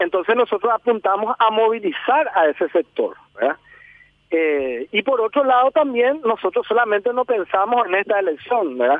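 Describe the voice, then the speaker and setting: With lively intonation and very even loudness, a man talks at a moderate pace in a high pitch. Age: 20s. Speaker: politician. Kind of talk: interview. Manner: halting.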